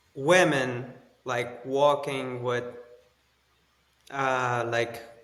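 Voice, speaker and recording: In a room with audible echo, a man of medium pitch speaks at a very slow pace with monotone, flat intonation. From Afghanistan. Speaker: former army special forces colonel. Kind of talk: interview. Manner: halting, with fillers.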